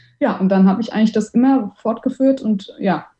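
Her voice is somewhat breathy and fairly high, with a dark, mellow tone, ordinary pitch variation and a moderate pace. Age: 30s. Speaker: amateur racing driver and event manager. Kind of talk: interview.

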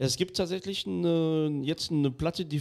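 A man has an unremarkable speaking voice. He talks at a moderate pace with ordinary pitch variation. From France. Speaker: podcast host. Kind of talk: casual chat.

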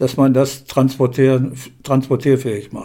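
The tone of this man's voice is dark and mellow. He sits at a medium pitch. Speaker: retired sports journalist. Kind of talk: interview. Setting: at home in his living room.

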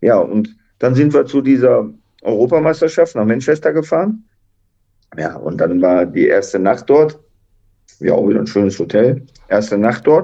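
A man speaks at a moderate pace, stopping often for long pauses. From Duisburg, Ruhr area, Germany. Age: 60s. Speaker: retired footballer and coach. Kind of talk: interview.

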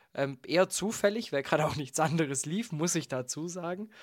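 His pitch is fairly high for a man, with ordinary pitch variation. He talks at a moderate pace in an unremarkable speaking voice. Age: 20s. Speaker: podcast host. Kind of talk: casual chat.

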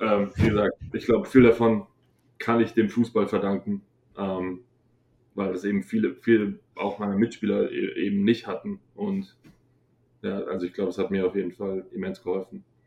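The speaker moves at a moderate pace. Long pauses come often. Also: man. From Bavaria, Munich area. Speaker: college football player. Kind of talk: interview.

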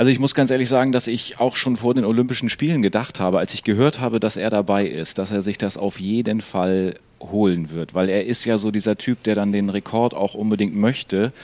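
In a normal speaking voice, a man talks fairly quickly with hardly any pauses, at a fairly low pitch with ordinary pitch variation. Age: 30s. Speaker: podcast co-host. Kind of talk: casual chat.

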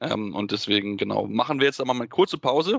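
The voice belongs to a man. His pitch is medium. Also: dry, close sound with no echo. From North Rhine-Westphalia, Germany. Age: 20s. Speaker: podcast host. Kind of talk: interview and co-host discussion.

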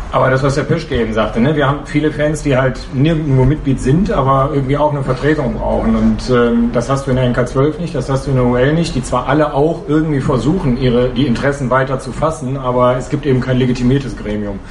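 A man talks at a very fast pace with hardly any pauses, his medium-pitched voice fairly even in intonation. Noticeable background noise and audible room echo surround him. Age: 40s. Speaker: football fan representative. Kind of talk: podcast interview. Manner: hesitant with many fillers.

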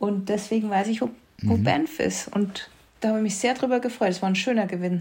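A woman with a plain, everyday voice, medium pitch, ordinary pitch variation, very even loudness and a fairly quick pace. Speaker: podcast co-host. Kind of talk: casual chat.

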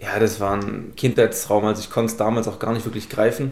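A man at a medium pitch speaks with monotone, flat intonation. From Esslingen, Baden-Württemberg (Swabia). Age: 20s. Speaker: professional footballer. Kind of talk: casual interview.

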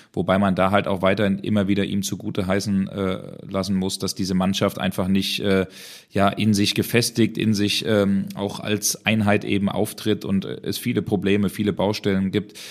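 A man's fairly low-pitched, monotone voice with flat intonation at a moderate pace, on a very clean recording with a silent background. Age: young. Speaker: football podcast co-host and reporter. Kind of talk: casual chat.

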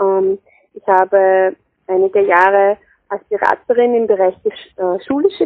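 At a fairly slow pace, a woman talks with medium pitch and ordinary pitch variation. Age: 30s. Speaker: health promotion consultant. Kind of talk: interview. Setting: phone call. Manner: hesitant, many fillers. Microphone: poor telephone sound quality.

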